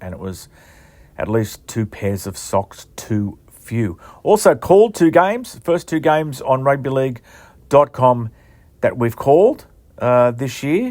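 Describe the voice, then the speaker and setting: Lively in intonation, a man with an Australian accent is heard on a very clean recording with a silent background. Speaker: rugby league journalist and podcast host. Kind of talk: casual monologue podcast. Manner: halting, many fillers.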